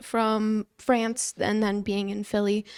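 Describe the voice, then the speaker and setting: Very slowly, a woman with a fairly high pitch speaks in a Midwestern accent, captured dry and close with no echo on a very clean recording with a silent background. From US Midwest. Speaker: podcast host. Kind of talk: casual interview chat. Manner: hesitant, filler-heavy.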